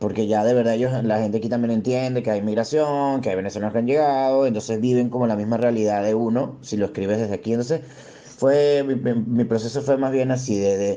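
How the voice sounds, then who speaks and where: Over noticeable background noise, a man speaks at a very fast pace, with very even loudness and fairly even intonation. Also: medium pitch for a man. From Venezuela. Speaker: stand-up comedian. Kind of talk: interview. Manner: halting, many repetitions.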